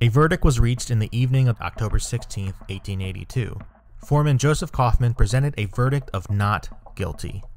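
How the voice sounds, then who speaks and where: Moderately paced talking over background music. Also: man. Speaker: documentary narrator. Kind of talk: documentary narration.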